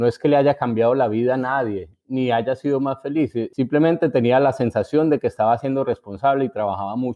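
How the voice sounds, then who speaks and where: With a paisa accent, a man speaks at a moderate pace with fairly even intonation. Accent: paisa Colombian, intact. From Colombia, Antioquia (Envigado, Medellín). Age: 50s. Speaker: writer. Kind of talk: interview. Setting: remote from home. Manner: halting.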